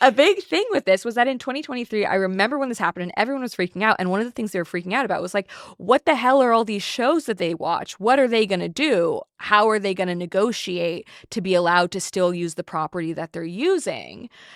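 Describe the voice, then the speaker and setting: A woman talks at a very fast pace with hardly any pauses, her pitch medium and her intonation lively. The sound is dry and close, with no echo. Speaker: podcast host and historian. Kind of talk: podcast conversation. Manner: loud.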